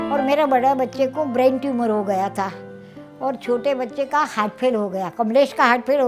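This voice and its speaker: A woman with a high pitch and ordinary pitch variation talks at a moderate pace over music in the background. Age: 70s. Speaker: home food entrepreneur. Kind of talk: interview.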